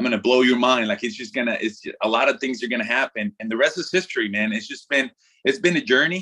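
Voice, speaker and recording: With a slight Mexican accent, a man speaks very fast in a bright, sharp, medium-pitched voice with lively intonation. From Mexico. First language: Spanish. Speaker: former baseball pitcher. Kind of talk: casual interview. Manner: animated.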